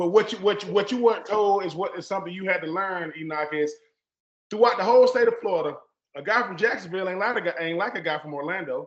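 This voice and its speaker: A very fast, high-pitched male voice with a Southern US accent, ordinary pitch variation and big swings in loudness. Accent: Southern country. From US South, Georgia. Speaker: podcast host, former pro football player. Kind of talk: casual interview conversation. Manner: animated.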